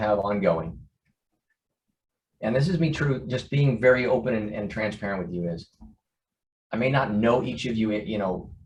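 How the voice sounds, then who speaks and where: A man of medium pitch speaks with a somewhat breathy voice. Audible room echo surrounds him. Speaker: organization CEO. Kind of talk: online town hall address. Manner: fast.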